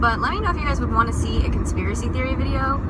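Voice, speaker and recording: A woman speaks at a very fast pace. Loud background noise runs underneath. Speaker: vlogger. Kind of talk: casual vlog chat. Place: car. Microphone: phone near.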